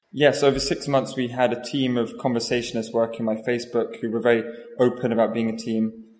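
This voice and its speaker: Over noticeable background noise, a man talks at a very fast pace. His medium-pitched voice is monotone and flat. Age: young. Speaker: artist. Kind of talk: interview. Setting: gallery. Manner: halting, many fillers.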